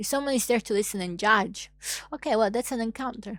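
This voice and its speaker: An Italian accent colors this woman's animated, medium-pitched speech with ordinary pitch variation. The recording is very clean, with a silent background. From Italy. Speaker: YouTuber. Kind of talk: casual monologue vlog.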